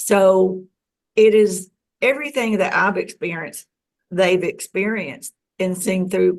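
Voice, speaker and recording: The speaker has an ordinary speaking voice and an American accent. The pace is fairly slow. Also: woman. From US South. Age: 60s. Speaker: UFO experiencer. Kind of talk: interview.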